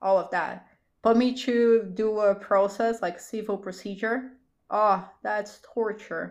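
With a Portuguese accent, the speaker talks at a very slow pace against a quiet background. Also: woman, fairly even intonation. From Brazil. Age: 20s. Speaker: lawyer and business owner. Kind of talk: casual interview. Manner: talkative.

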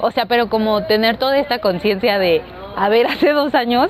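Someone speaks with a Mexico City accent over noticeable background noise. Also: woman. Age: 20s. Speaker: zero waste content creator. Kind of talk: interview.

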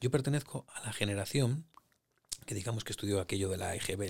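A man speaks at a fairly low pitch, somewhat breathy. His pace is moderate and his pitch varies in an ordinary way. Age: 50s. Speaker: podcast host. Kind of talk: interview. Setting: in guest's home.

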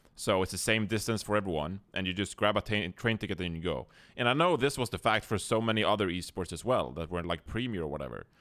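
With a Swedish accent, a man with a fairly low pitch talks at a very fast pace with lively intonation and hardly any pauses, on a very clean recording with a silent background. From Sweden. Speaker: esports broadcast observer and podcast co-host. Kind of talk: casual chat.

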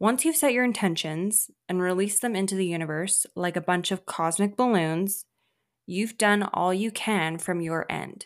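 A woman with a normal speaking voice speaks at a medium pitch with ordinary pitch variation, in a very clean recording with a silent background. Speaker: podcast host. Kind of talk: guided meditation; motivational solo monologue. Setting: solo podcast recording. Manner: slow, calm, soothing, with pauses, coaxing the listener to repeat affirmations.

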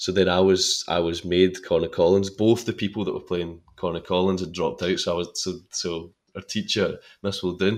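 Here a man speaks with a Scottish accent at a moderate pace. The recording is very clean, with a silent background. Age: 20s. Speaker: actor. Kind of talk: casual chat.

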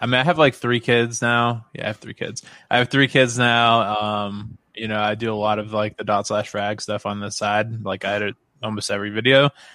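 This man has a normal speaking voice with fairly low pitch. He talks at a fairly quick pace with fairly even intonation. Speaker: YouTube gaming channel creator and game programmer. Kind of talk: casual chat. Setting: live stream podcast.

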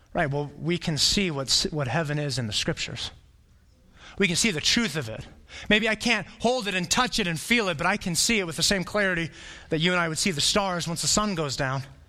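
Bright and sharp in tone, a man with an American accent speaks at a high pitch with an animated tone and lively intonation. Audible room echo surrounds his voice. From Arizona (Flagstaff). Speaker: pastor. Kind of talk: sermon.

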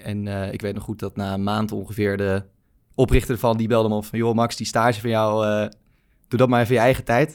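In a very clean recording with a silent background, a man speaks at a fairly quick pace with monotone, flat intonation. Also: fairly low pitch for a man. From Netherlands, Baarn (province of Utrecht). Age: 20s. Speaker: growth marketing agency founder. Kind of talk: interview.

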